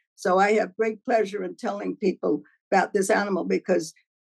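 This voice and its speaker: Recorded with a dry, close sound and no echo, a woman speaks. Her voice is medium in pitch with vocal fry. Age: 80s+. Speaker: zoo docent. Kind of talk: interview answer.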